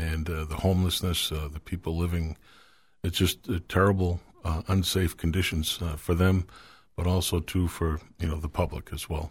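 A man's very deep, low, somewhat breathy voice, monotone and flat, at a moderate pace. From Manchester, New Hampshire, US. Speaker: local political candidate. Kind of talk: radio interview. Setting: radio studio. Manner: halting, many fillers.

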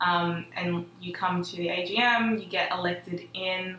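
A woman's fairly low voice in an Australian accent, with audible room echo and noticeable background noise. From Melbourne western suburbs, Australia. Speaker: student organisation leader. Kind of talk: casual chat.

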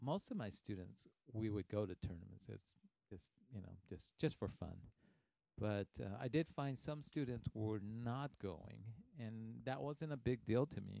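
A plain, everyday voice with lively intonation speaks at a fairly slow pace, recorded with a dry, close sound and no echo. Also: man. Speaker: taekwondo master and podcast host. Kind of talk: podcast interview, casual Q&A.

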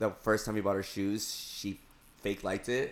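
On a very clean recording with a silent background, a man with a fairly low pitch speaks with monotone, flat intonation. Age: 30s. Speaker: podcast co-host. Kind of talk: casual chat.

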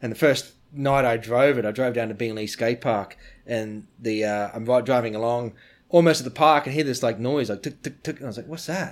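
On a very clean recording with a silent background, a man with an Australian accent speaks at a medium pitch and a fairly quick pace. His pitch variation is ordinary, while his loudness swings widely. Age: 40s. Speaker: BMX rider and brand owner. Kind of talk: casual interview. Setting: in person, near Stuttgart, Germany.

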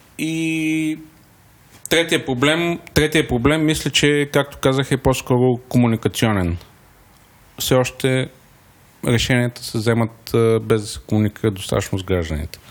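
A man at medium pitch with lively intonation, speaking at a fairly slow pace with long, frequent pauses. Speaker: startup founder. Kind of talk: interview.

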